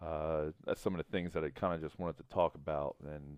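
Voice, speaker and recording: This man talks at a very fast pace in a very deep, low voice. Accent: slight Southern US. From US South. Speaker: gaming vlogger. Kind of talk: casual chat over gameplay.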